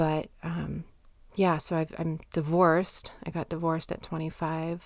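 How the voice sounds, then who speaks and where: The woman's voice is fairly low in pitch, with monotone, flat intonation. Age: 30s. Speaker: podcast host and mental health therapist. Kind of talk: solo podcast monologue.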